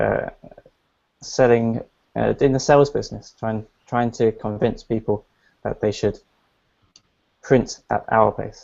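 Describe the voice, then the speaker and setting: Speaking at a fairly slow pace with a British accent, a man leaves long, frequent pauses. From England. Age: 20s. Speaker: entrepreneur. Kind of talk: interview. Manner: hesitant, with fillers and restarts.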